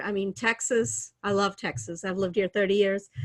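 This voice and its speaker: A fairly quick pace in an American accent, with a quiet background. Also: woman. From India, Chennai. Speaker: real estate investor. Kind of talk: interview.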